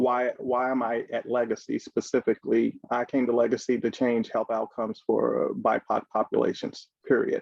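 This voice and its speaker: He is a man who talks with a slight Southern US accent. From Kentucky, Louisville. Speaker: healthcare executive. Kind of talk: panel discussion.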